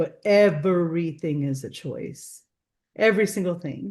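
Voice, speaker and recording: A normal speaking voice with ordinary pitch variation against a quiet background. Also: woman. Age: 40s. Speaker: author. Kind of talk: interview.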